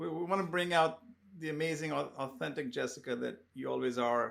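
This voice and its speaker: This man has a normal speaking voice, pitched fairly high. He speaks at a moderate pace with lively intonation. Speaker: podcast host. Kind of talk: interview question.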